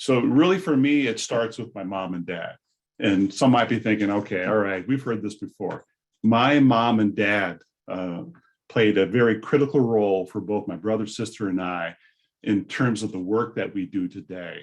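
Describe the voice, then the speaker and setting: Here a man has an unremarkable speaking voice with a fairly low pitch and ordinary pitch variation. He keeps a moderate pace over a quiet background. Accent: General American. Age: 60s. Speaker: vocational rehabilitation presenter. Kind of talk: conference presentation.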